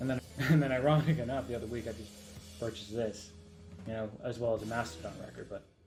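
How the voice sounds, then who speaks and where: Music plays in the background as a man talks at a very fast pace. His medium-pitched voice has ordinary pitch variation. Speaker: vlogger. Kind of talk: casual vlog monologue. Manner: hesitant, repetitive.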